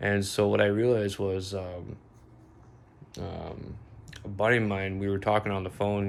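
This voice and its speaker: Slow-ish and flat, a man with an American accent speaks at a fairly low pitch in a monotone, with audible room echo. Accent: American-sounding. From Bosnia. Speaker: vlogger. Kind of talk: casual monologue. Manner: halting, many fillers.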